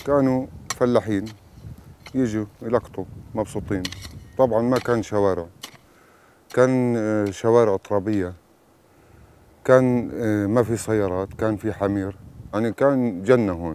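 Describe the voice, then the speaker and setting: Long, frequent pauses break up the speech, and the pitch varies in an ordinary way. The sound is dry, with no echo. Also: man, fairly low pitch for a man. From Palestine, West Bank. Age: 50s. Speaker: farmer. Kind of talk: video diary talk to camera.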